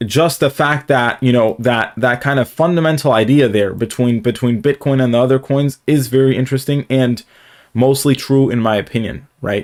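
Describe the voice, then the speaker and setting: A man at a medium pitch and moderate pace, with fairly even intonation and very even loudness, in a very clean recording with a silent background. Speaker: crypto trading YouTuber. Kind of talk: live stream market commentary. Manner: filler-heavy, hesitant.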